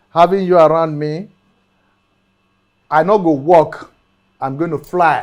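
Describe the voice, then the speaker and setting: A man's high-pitched voice at a fairly slow pace. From Nigeria, Edo. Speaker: talk show host. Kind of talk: interview talk show. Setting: studio. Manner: animated.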